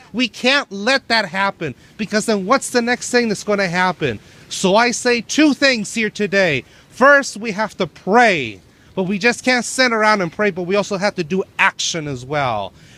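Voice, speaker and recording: A man projects a raised voice at a high pitch, bright and sharp in tone, with lively intonation. The sound is dry and close, with no echo. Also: moderate pace. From Venezuela, Valencia. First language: Spanish. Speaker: protester. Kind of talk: protest speech. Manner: impassioned.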